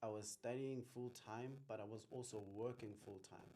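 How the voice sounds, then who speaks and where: The voice has a South African accent and a dark, mellow tone. It moves at a fairly slow pace with ordinary pitch variation. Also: man. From Limpopo, South Africa. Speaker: business accountant and tax practitioner. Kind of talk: interview answer.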